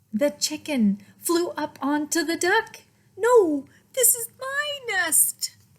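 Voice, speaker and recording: Using a put-on character voice, a woman speaks at an extremely high pitch with very wide pitch swings. Her pace is very slow. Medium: read story. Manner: excitable, indignant.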